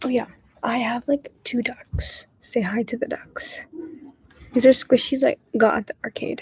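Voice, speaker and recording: Soft-spoken, a woman talks in a dry, close sound with no echo. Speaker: study-with-me streamer. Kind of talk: casual livestream chat. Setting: public area. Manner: quiet, soft-spoken.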